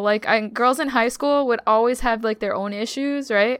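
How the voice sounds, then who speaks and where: With an unremarkable speaking voice, a woman talks at a moderate pace, her pitch fairly high and her intonation fairly even. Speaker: podcast guest. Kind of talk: casual chat.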